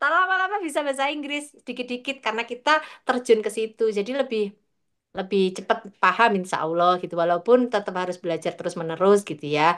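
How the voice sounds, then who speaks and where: A woman with a Javanese accent speaks very fast at a fairly high pitch. Her pitch swings very widely against a quiet background. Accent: Javanese-accented speech. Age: 40s. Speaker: midwife. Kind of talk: interview.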